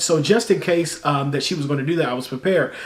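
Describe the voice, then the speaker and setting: A man rattles along at a very fast pace. Behind his voice there is noticeable background noise. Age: 30s. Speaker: YouTuber and singer-songwriter. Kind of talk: casual vlog storytelling. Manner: conversational, many fillers.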